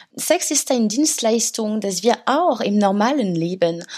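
A woman with a French accent speaks at a fairly high pitch, her dark, mellow tone rising and falling in very wide pitch swings. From France, Paris. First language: French (speaking German). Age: 30s. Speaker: author. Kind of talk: interview. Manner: halting, many fillers.

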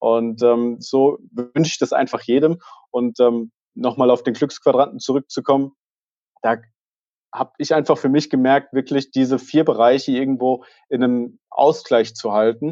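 A man speaks at medium pitch and a moderate pace with a dark, mellow tone. The sound is dry and close with no echo, and his intonation is fairly even. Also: quiet background. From Germany, near Fulda (Hesse). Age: 20s. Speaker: management consultant and author. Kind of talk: podcast interview.

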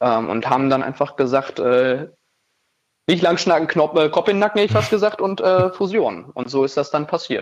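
A man talks at a moderate pace in a plain, everyday voice, fairly high in pitch. His intonation is lively, and the background is quiet. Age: 20s. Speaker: rock band frontman. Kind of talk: casual interview.

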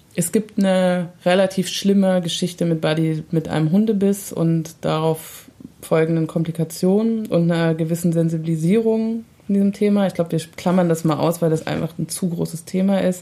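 A woman speaks in a normal speaking voice at a moderate pace, with fairly low pitch, very even loudness and fairly even intonation. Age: 30s. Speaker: dog owner and mother. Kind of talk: casual chat.

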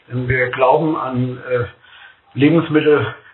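Over noticeable background noise, a man speaks in a monotone, flat intonation at a fairly high pitch. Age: 50s. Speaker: food company executive. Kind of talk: podcast interview.

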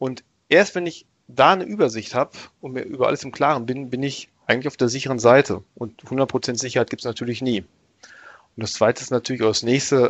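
A man speaks at a fairly quick pace with ordinary pitch variation and a medium pitch. He has a plain, everyday voice. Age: 30s. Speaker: IT team leader. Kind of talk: expert interview on IT security.

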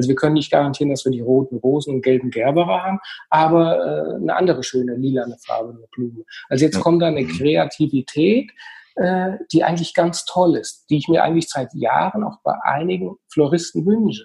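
A man with a dark, mellow tone and a somewhat breathy quality talks at a fairly quick pace, his pitch fairly high for a man and his intonation lively. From central Hesse, Germany. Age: 40s. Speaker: funeral home owner. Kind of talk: interview. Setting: remote recording from home.

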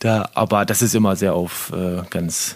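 At a fairly slow pace, a man with a very deep, low pitch talks in a fairly even intonation. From northern Germany, Lower Saxony near Bremen. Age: 30s. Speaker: handball player. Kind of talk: casual interview.

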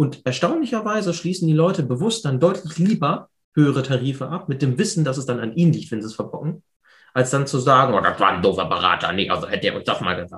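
Talking at a very fast pace, a man shows very wide pitch swings and vocal fry. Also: fairly high pitch for a man. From Hannover, northern Germany. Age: 20s. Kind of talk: interview. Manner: casual.

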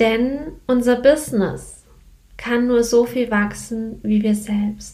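A woman speaks at a very slow pace with a fairly high pitch. Her intonation stays fairly even. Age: 20s. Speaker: podcast host, business coach. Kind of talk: solo podcast monologue.

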